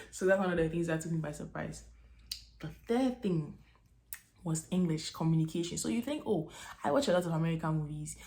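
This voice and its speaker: A woman's fairly low, somewhat breathy voice has a dark, mellow tone and ordinary pitch variation as she talks at a fairly quick pace. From Ghana. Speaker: vlogger, international graduate student. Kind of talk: casual vlog talk to camera. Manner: animated, conversational.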